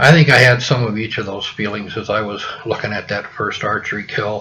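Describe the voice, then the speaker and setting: Noticeable background noise sits behind a man's medium-pitched voice. He keeps a moderate pace and a fairly even intonation. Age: 60s. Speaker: hunting podcast host. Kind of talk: personal storytelling podcast. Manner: casual, many filler words.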